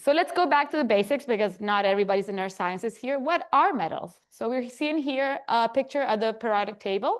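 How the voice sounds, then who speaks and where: With lively intonation and hardly any pauses, a woman speaks at a high pitch over a quiet background. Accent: Spanish. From Chile. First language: Spanish. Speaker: geoscience researcher. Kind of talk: lecture.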